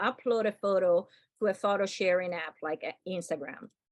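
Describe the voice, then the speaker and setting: Against a quiet background, a woman talks at a moderate pace with a non-native accent. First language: not English. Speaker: UX workshop instructor. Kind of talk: online workshop lecture. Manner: casual, filler-heavy.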